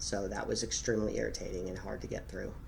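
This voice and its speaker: A man is speaking. Room echo can be heard. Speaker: vlogger. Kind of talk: personal reflection vlog. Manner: dynamic, expressive speech pattern.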